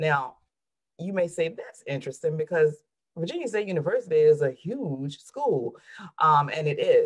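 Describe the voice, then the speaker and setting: In a Southern US accent, a woman speaks in an animated tone at a very deep, low pitch. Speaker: therapist. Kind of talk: panel discussion.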